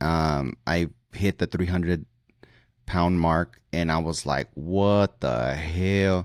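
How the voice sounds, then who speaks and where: A man talks at a very slow pace in a very deep, low pitch, with ordinary pitch variation and very even loudness. The sound is dry and close with no echo, on a very clean recording with a silent background. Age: 40s. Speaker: podcast host, pool cleaner. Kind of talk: casual chat.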